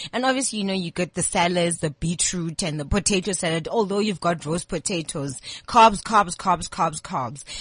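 At a moderate pace and with hardly any pauses, a woman speaks in a fairly low, somewhat breathy voice with ordinary pitch variation. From South Africa, Eastern Cape (King Williamstown). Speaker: chef. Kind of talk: casual interview chat.

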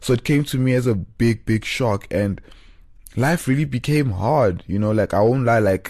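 Against a quiet background, a man in a South African accent talks at a moderate pace. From South Africa, Johannesburg. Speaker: podcast host. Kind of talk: casual monologue. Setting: studio, solo.

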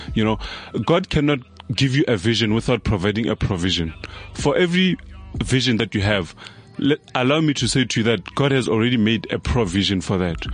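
A man's medium-pitched voice at a fairly quick pace, lively in intonation and very even in loudness, with music in the background. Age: young. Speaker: social entrepreneur and motivational speaker. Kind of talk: interview. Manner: preachy.

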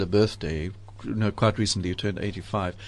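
This man has a normal speaking voice with a fairly low pitch. He talks at a fairly quick pace. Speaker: radio host. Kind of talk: radio interview. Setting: studio.

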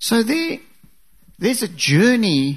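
The voice moves at a fairly slow pace against a quiet background. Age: 50s. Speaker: guest preacher. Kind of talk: sermon. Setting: church.

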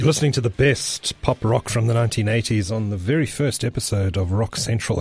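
With ordinary pitch variation, this man's somewhat breathy voice stays at a medium pitch. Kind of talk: radio DJ patter between songs, casual music-show presenting. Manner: relaxed, friendly, conversational with filler 'uh' and 'um'; upbeat, promotional, repeating show and contact details.

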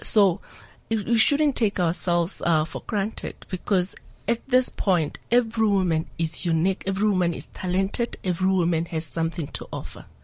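This woman talks at a moderate pace in a medium-pitched, somewhat breathy voice with ordinary pitch variation. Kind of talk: radio interview.

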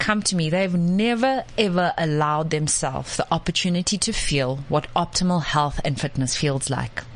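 Lively intonation runs through this moderately paced speech, which has hardly any pauses, very even loudness and noticeable background noise. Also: woman. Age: 30s. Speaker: gut health coach. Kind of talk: casual chat. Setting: studio.

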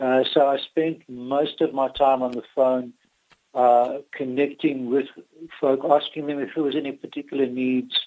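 A man speaks at a moderate pace with a fairly high pitch. His intonation is monotone and flat. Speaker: retired pastor. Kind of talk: radio interview.

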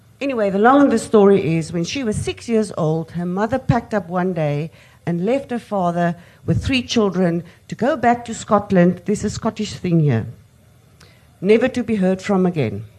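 Her voice has a dark, mellow tone at a medium pitch for a woman. She speaks with lively intonation at a moderate pace. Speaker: audience member asking a question. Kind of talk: audience question. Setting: stage with audience.

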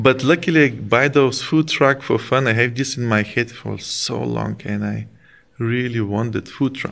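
At a moderate pace, a man speaks with a Bulgarian accent and ordinary pitch variation. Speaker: chef and food business owner. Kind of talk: casual interview.

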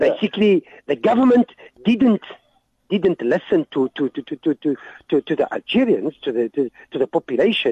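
Talking at a fairly quick pace, a man with a high voice swings very widely in pitch and takes long, frequent pauses. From Algeria. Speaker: guest. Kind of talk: radio interview. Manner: halting.

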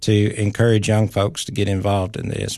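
Over a quiet background, a man with a Tennessee accent speaks at a moderate pace and a fairly low pitch. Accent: Southern US (Tennessee). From Tennessee, Clay County. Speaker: county mayor. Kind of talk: radio interview. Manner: halting.

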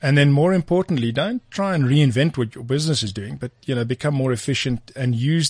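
A somewhat breathy man at a medium pitch, fairly quick in pace with ordinary pitch variation, in a dry, close sound with no echo and a quiet background. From South Africa, Free State (Bloemfontein). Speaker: tech company co-founder. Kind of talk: interview.

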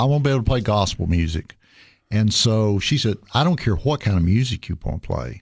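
Here a man talks at a very fast pace with a Tennessee accent. His pitch is medium. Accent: Southern US (Tennessee). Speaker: county mayor and church pianist. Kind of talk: casual interview.

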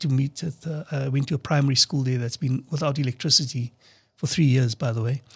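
A man speaks at a medium pitch in a somewhat breathy voice with fairly even intonation. The sound is dry and close, with no echo. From South Africa. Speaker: political party leader. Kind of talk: radio interview. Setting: studio.

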